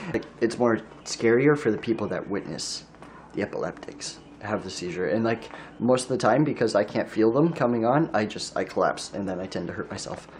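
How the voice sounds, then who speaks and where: A man speaks at a fairly quick pace and medium pitch with lively intonation over noticeable background noise. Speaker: vlogger. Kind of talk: casual monologue. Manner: halting, repeats words.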